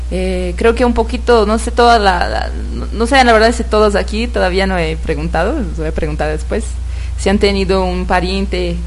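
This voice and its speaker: With a Brazilian accent and a very deep, low pitch, a woman speaks at a moderate pace in a monotone, flat intonation, with audible room echo and noticeable background noise. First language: Portuguese (speaking Spanish). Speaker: nonprofit development staff. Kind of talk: radio interview.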